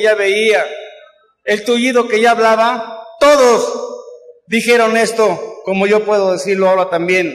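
Against a quiet background with audible room echo, a man speaks at a high pitch with fairly even intonation and a fairly slow pace. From Mexico City. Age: 80s+. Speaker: recovering alcoholic speaker at AA event; speaker. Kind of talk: testimony. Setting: stage with audience. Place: hall. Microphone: camera far.

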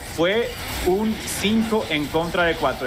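A man talks over noticeable background noise. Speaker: esports analyst co-caster. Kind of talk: esports analysis as color commentary. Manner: calmer, explanatory, measured compared with the play-by-play caster.

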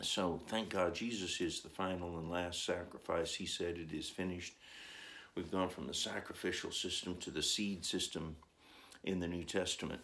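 Speaking at a moderate pace, a man delivers flat, monotone lines in a very deep, low pitch with a bright, sharp tone. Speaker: religious teacher. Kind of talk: sermon. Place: home room. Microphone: phone near.

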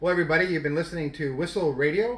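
A man speaks in an upbeat tone. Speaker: radio host of hockey show. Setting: radio studio. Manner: upbeat, polished, announcer-like.

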